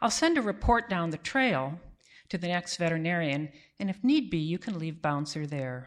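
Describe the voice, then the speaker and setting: With a plain, everyday voice, a woman talks at a moderate pace, her fairly low pitch carried by lively intonation. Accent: American. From US Midwest (Cleveland, Ohio). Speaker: veterinarian, storyteller. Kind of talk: live storytelling. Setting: stage with audience.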